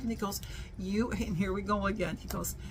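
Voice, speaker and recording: A woman speaks at a moderate pace in an animated tone. Room echo is audible. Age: 60s. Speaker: vlogger. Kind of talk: casual chat.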